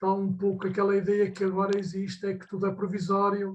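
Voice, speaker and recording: The speaker is a man with a high voice. He keeps a moderate pace. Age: 70s. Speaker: audience member. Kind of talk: audience question. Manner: halting.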